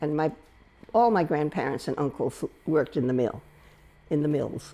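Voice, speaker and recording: A woman with a very deep, low voice and a dark, mellow tone, with an American accent, lively intonation and a moderate pace. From Rhode Island, US (South Kingstown). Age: 80s+. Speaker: local resident sharing memories. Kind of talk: oral history interview. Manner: halting, with fillers and restarts.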